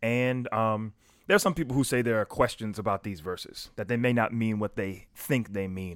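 Recorded very cleanly against a silent background, a man with an American accent talks in a bright, sharp tone. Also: dry, close sound with no echo. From US South, South Carolina. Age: young. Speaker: pastor. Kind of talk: casual discussion.

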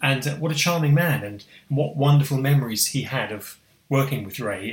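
Using a normal speaking voice, this man keeps to a medium pitch and a moderate pace, his pitch varying in an ordinary way. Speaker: foundation trustee and co-host. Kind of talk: casual chat.

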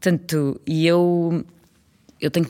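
A woman with a slight Trás-os-Montes accent on a very clean recording with a silent background. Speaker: actress and children's theatre director. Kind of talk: casual interview.

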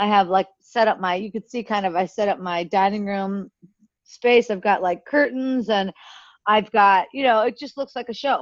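Against a quiet background, a woman with a medium pitch talks at a moderate pace with ordinary pitch variation in an ordinary speaking voice. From US, Pittsburgh area, Pennsylvania. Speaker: content creator. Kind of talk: casual chat.

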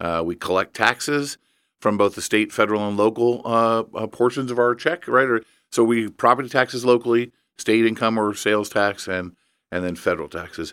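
A man at medium pitch at a fairly quick pace, a normal speaking voice with ordinary pitch variation, on a very clean recording with a silent background. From Indiana (Evansville). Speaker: education nonprofit president. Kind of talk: casual chat.

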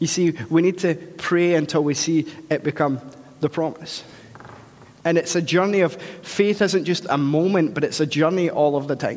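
A high-pitched man with a Scottish accent, moderate pace, fairly even intonation and very even loudness, over noticeable background noise. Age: 30s. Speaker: pastor. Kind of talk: sermon.

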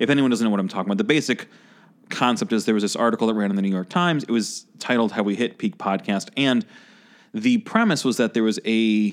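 A plain, everyday voice, a man with an American accent speaks at a medium pitch and a fairly quick pace with ordinary pitch variation, on a very clean recording with a silent background. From Chicago. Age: 30s. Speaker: podcast host. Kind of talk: casual interview chat. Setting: studio.

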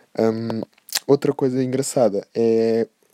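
A man speaks in a European Portuguese accent at a medium pitch. His tone is dark and mellow, and the sound is dry and close with no echo. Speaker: podcast host. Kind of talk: casual monologue. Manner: animated.

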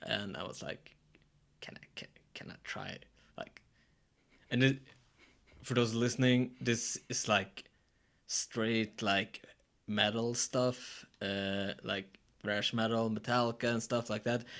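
A man speaks at a medium pitch in a monotone, flat way, very slowly and with long, frequent pauses. His loudness swings widely. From Sweden. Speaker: chef and musician. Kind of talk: casual chat.

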